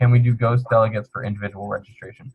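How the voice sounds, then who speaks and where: The man's voice comes across as somewhat breathy. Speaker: student organization officer. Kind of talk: webinar Q&A explanation. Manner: fast; casual, upbeat.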